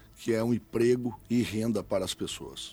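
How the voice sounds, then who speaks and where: A man talks at a fairly slow pace. His voice sits at a medium pitch. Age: 40s. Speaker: mayoral candidate. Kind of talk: political interview. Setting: radio studio. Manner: hesitant, many filler sounds.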